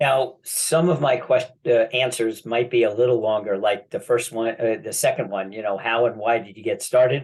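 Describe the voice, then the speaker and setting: With hardly any pauses, a somewhat breathy man talks in fairly even intonation. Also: medium pitch for a man, moderate pace. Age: 70s. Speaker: land banking specialist. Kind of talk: casual chat.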